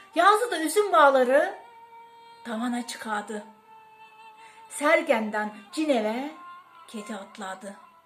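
A woman is talking very slowly. Behind her, music plays. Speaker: poet. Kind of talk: poetry reading.

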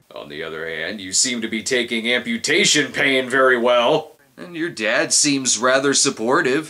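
At a moderate pace and with hardly any pauses, a man speaks with very wide pitch swings and big swings in loudness. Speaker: film reviewer. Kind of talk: comedic film review commentary. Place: home room.

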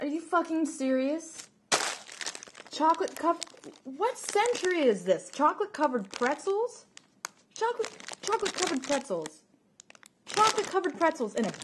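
A woman speaks at a moderate pace with very wide pitch swings. Noticeable background noise runs underneath. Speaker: vlogger. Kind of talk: casual vlog chat, sarcastic rant. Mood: annoyed, mocking. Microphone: phone near.

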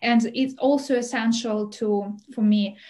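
In a Russian accent, a woman speaks with a fairly high pitch and a dark, mellow, somewhat breathy tone against a quiet background. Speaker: visiting scholar, Russian teacher; language teacher presenter. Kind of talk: webinar presentation. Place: home room. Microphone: webcam.

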